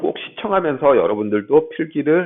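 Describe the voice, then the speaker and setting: A man at a fairly slow pace. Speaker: math lecturer. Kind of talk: lecture. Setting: classroom. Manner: halting. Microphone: bluetooth mic, may echo in room.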